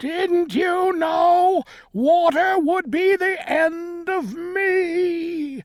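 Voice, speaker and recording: In a put-on character voice, a woman speaks very slowly at an extremely high pitch. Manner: wailing, despairing.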